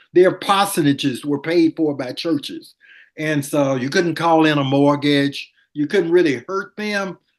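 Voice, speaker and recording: A man with a Southern US accent speaks at a moderate pace and a fairly high pitch. The background is quiet. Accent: US South. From Montgomery, Alabama. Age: 70s. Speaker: former city attorney. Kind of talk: interview.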